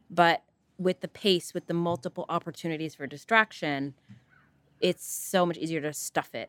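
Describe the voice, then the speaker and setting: At a moderate pace, a woman talks in a fairly low pitch with fairly even intonation. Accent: Californian. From Northern California. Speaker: physician. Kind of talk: casual interview chat.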